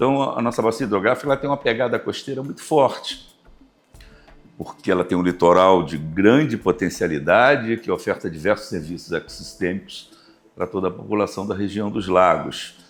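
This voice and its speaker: Over music in the background, a man with a fairly low pitch speaks at a moderate pace with lively intonation. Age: 60s. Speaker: university professor and river basin committee president. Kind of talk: interview.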